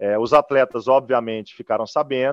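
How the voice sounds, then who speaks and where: A man's unremarkable speaking voice at medium pitch and moderate pace, dry and close with no echo, over a quiet background. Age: young. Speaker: football club executive. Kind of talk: interview.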